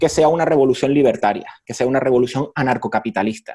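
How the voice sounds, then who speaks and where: A very fast delivery with a dark, mellow tone and a Canarian accent. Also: man. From Canary Islands, Spain. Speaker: professor. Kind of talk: interview. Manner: conversational, hesitant fillers.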